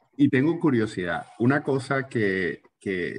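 A man speaks with a Latin American accent. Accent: Latin American Spanish with seseo. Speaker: book podcast host. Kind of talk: interview.

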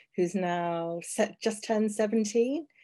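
A woman with a British accent, her tone dark and mellow, at a fairly slow pace with ordinary pitch variation against a quiet background. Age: 50s. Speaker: HIV activist and broadcaster. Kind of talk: interview.

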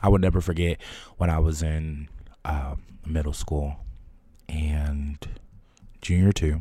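A man's very deep, low voice with a dark, mellow tone and an American accent, somewhat breathy and monotone, at a fairly slow pace with long, frequent pauses. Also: very clean recording, silent background. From New Jersey, Trenton. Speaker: podcast host. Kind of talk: personal monologue. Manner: hesitant, with filler words.

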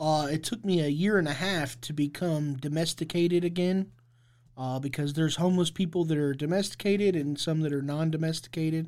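A man has an ordinary speaking voice, fairly high pitch and an American accent. His intonation stays fairly even in a very clean recording with a silent background. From Indianapolis, Indiana. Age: 30s. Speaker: formerly homeless advocate. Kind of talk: interview.

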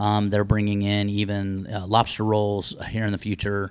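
With an American accent, the speaker keeps a moderate pace. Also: man. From Las Vegas, Nevada. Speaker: business owner. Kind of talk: casual chat. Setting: on location at his business.

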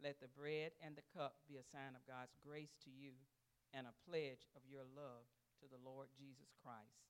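Here is a man with a plain, everyday voice, pitched fairly high. He speaks at a fairly slow pace with fairly even intonation. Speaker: communion reader. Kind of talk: reading aloud liturgy. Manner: formal, measured.

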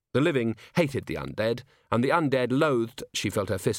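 Someone is doing plain reading aloud. The pitch variation is ordinary.

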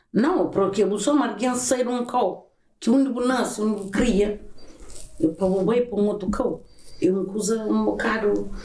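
A woman speaks at a fairly slow pace with a fairly high pitch and ordinary pitch variation, and room echo can be heard. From Cape Verde, Santiago island. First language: Cape Verdean Creole (speaking Portuguese). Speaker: podcast host's mother. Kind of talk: casual chat.

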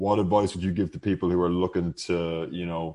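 This man has a very deep, low voice and an Irish accent. The background is quiet. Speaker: podcast host, real estate advisor. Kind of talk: casual chat.

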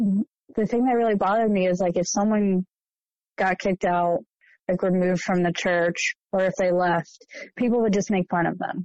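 At a moderate pace, a woman with an American accent and an unremarkable speaking voice talks at a medium pitch, with fairly even intonation and very even loudness. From Ohio, US Midwest. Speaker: former church member. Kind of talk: testimony.

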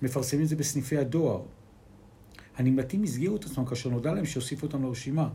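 A man with a dark, mellow tone and medium pitch speaks at a very fast pace, yet with long, frequent pauses. His voice is somewhat breathy, his pitch varies in an ordinary way, and audible room echo is present. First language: Spanish (speaking Hebrew). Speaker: podcast co-host. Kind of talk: casual chat.

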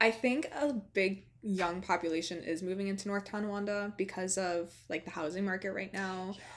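An ordinary speaking voice from a woman, with hardly any pauses and fairly even intonation. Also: medium pitch for a woman, moderate pace. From Western New York (rural, near Buffalo). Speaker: podcast host. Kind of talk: solo podcast outro; casual chat.

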